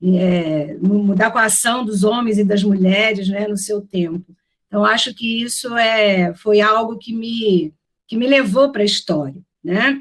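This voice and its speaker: This woman's voice is medium in pitch and somewhat breathy. She speaks at a fairly slow pace with ordinary pitch variation. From Rio de Janeiro, Brazil. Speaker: professor. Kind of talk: lecture. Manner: hesitant, many fillers.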